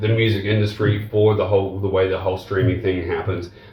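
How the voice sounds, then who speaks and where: A man with a New Zealand accent speaks at a moderate pace, his voice fairly low and somewhat breathy. The room adds audible echo. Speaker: rock guitarist. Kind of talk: interview.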